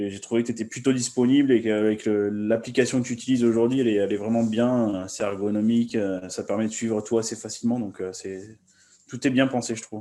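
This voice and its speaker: A man with a dark, mellow tone, monotone and flat in intonation, at a very fast pace. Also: medium pitch for a man. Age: 30s. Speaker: coaching client. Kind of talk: testimonial interview. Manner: halting.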